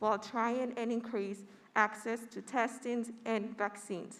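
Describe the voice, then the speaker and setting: A fairly high-pitched woman with a Spanish accent in a monotone, flat intonation. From Puerto Rico. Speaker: graduating student speaker. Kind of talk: commencement speech. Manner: formal.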